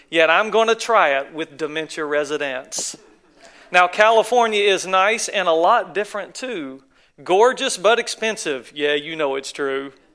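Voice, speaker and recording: With a Southern US accent, a man speaks at a fairly slow pace in a high pitch. His tone is bright and sharp, his intonation lively, and the background quiet. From North Carolina, US South. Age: 40s. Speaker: guest preacher. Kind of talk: sermon. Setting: church.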